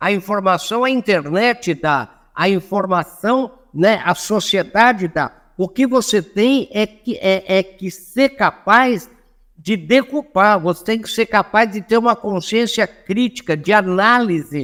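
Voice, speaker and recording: Very slowly, a man with a high pitch speaks with ordinary pitch variation in a dry, close sound with no echo. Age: 70s. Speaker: anthropologist and motivational speaker. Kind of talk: podcast interview.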